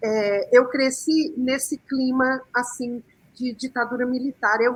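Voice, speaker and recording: Her voice is a woman's, pitched fairly high. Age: 60s. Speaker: communicator, panel guest. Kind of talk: panel debate. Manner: hesitant, many fillers.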